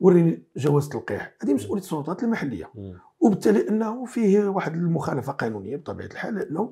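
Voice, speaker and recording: Against a quiet background, a man with a high pitch and a dark, mellow tone talks at a fairly quick pace. His pitch swings very widely. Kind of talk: interview answer. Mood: critical, earnest. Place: studio. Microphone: lapel.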